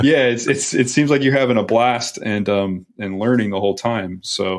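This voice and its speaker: An unremarkable speaking voice from a man at medium pitch moves at a moderate pace with ordinary pitch variation. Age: 40s. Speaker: podcast host. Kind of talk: casual interview chat.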